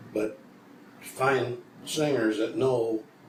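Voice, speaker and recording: A man speaks with an American accent at a medium pitch. Audible room echo and noticeable background noise come through. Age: old. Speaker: old-time country musician. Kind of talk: casual interview. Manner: halting.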